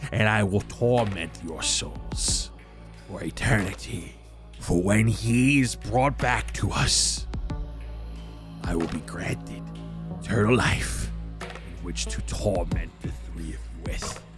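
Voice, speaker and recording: A man's put-on character voice at a fairly slow pace over clear music in the background. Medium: actual play. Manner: menacing, seething, gloating.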